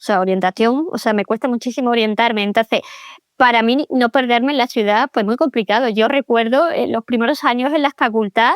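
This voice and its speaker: Speaking at a moderate pace, a woman uses a high pitch with ordinary pitch variation in a dry, close sound with no echo. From Andalusia, Spain (small town near Seville). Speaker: pedagogue and author. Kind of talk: interview conversation. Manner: hesitant, many repetitions.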